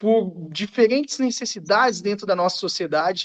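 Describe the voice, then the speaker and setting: A man's high voice at a fairly slow pace with ordinary pitch variation, in a dry, close sound with no echo. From Minas Gerais, Brazil. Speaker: political candidate. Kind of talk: closing remarks in a live panel.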